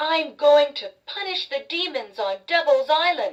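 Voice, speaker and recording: A put-on character voice with a high pitch speaks at a moderate pace. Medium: read story. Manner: proud.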